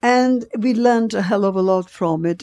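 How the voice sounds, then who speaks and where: A woman's dark, mellow voice at a fairly slow pace, in a very clean recording with a silent background. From Poland (Warsaw). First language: Polish. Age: 80s+. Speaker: retired dancer and actress, Holocaust survivor. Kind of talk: interview, life story testimony. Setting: at home in her flat.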